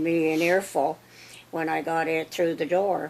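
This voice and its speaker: A woman speaks with a Canadian Prairie accent. Her pitch is fairly low and her pace fairly slow. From Saskatchewan, Canada. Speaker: interviewee. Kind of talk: life story interview. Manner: halting.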